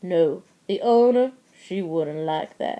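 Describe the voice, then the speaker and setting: A woman mumbles in a put-on character voice at medium pitch. She moves at a fairly slow pace with lively intonation. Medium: read story. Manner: mumbling, hesitant.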